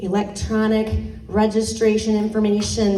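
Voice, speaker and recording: There is noticeable background noise and audible room echo as a woman with a slight Michigan accent speaks at a fairly high pitch. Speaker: political candidate, former high school teacher. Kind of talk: campaign speech at a community meeting. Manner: casual, many fillers.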